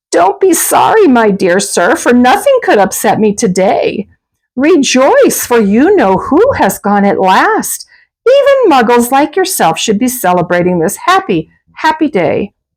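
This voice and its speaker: Using a squeaky, put-on character voice, a woman speaks in a high pitch with a cheerful tone. Her pitch swings very widely at a moderate pace while her loudness stays very even. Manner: cheerful, joyful.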